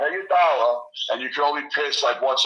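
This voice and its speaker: A man with a New York accent at a fairly quick pace. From New York, Queens. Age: 40s. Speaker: bodybuilder and gym owner. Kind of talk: casual chat.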